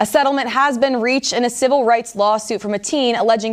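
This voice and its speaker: Speech comes at a very fast pace with ordinary pitch variation against noticeable background noise. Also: woman. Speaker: news reporter. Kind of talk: news reel montage of short anchor-style reads.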